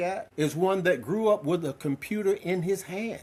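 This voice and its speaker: At a moderate pace, a man talks with a high pitch. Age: 70s. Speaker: podcast host and public speaker. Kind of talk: show intro; interview.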